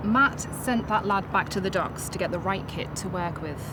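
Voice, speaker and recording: A soft-spoken woman uses a breathy, put-on character voice at medium pitch, talking at a moderate pace over noticeable background noise. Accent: Liverpool. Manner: soft lenited consonants.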